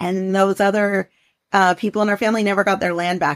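Speaking at a medium pitch, a woman talks with a Pacific Northwest accent. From US Pacific Northwest. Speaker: journalist and author. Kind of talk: interview conversation.

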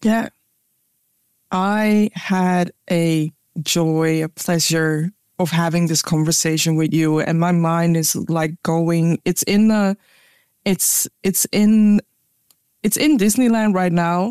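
A woman talks at a very slow pace, leaving long, frequent pauses, her pitch fairly low and her loudness very even. The sound is dry and close, with no echo. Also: very clean recording, silent background. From Ghana. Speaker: podcast host and diversity trainer. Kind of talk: interview conversation.

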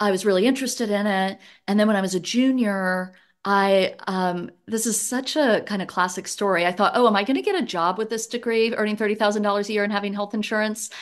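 A woman in a Southern accent, medium pitch, fairly even intonation and a very fast pace, over a quiet background. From US South (Louisiana, West Virginia, Georgia). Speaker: economics professor. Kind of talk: casual interview.

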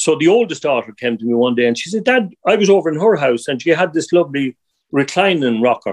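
The speaker talks at a very fast pace in an Irish accent. The pitch swings very widely. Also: man. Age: 60s. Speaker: angler and river conservation volunteer. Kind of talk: casual interview.

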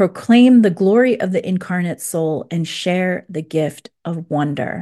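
Against a quiet background, a woman with a dark, mellow tone speaks at a medium pitch and a fairly slow pace, with ordinary pitch variation. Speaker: podcast host. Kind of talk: interview conversation. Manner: relaxed, measured.

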